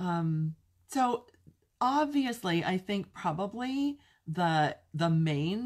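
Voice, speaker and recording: Her voice has a warm tone and a medium pitch, and this woman's pitch swings very widely. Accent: Californian. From California (Pasadena), US West Coast. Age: 60s. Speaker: craft demonstrator and video host. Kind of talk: casual live-stream Q&A chat. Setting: live stream to online viewers. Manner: chatty, warm, informal.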